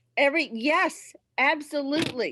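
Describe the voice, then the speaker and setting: A woman speaks with a strong Southern US accent. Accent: Southern accent, still strong after 25 years. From South Carolina. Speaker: presenter. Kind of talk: casual chat.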